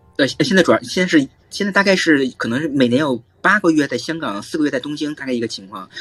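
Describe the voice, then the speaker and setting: Rattling along at a very fast pace, a man speaks at a fairly high pitch. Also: lively intonation. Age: 30s. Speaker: assistant professor, climate and energy expert. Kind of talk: expert interview.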